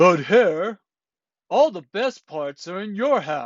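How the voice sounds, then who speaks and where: A growling, put-on character voice at a middle pitch and a fairly slow pace. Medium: read story. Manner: slow, drowsy.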